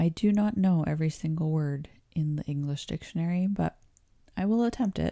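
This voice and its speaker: A woman's dark, mellow, calm voice with a Canadian accent, fairly low in pitch, with ordinary pitch variation, at a fairly quick pace, in a dry, close sound with no echo. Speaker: English teacher. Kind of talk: pronunciation livestream tutorial. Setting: livestream.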